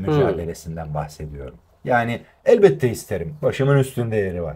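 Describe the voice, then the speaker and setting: A man talks at a fairly quick pace with a fairly low, somewhat breathy voice. His pitch swings very widely. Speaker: voice actor. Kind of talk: interview answer.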